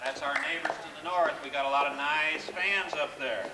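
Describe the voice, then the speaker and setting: This is a man speaking. There is noticeable background noise behind him. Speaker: auctioneer. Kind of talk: live charity auction at a convention. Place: hall.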